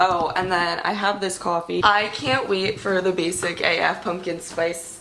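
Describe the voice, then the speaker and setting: Against noticeable background noise, a woman talks in an animated tone at a fairly low pitch. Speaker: fitness vlogger. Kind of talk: casual video diary. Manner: chatty, animated.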